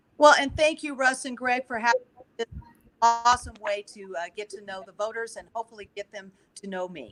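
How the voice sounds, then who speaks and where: Over music in the background, a woman speaks at a fairly quick pace and fairly high pitch, with lively intonation and big swings in loudness. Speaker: judicial candidate. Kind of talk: candidate presentation. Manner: fast.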